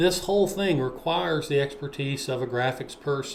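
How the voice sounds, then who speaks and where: An ordinary speaking voice from a man, fairly high in pitch, with ordinary pitch variation and a moderate pace. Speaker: web developer. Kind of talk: screen-share tutorial.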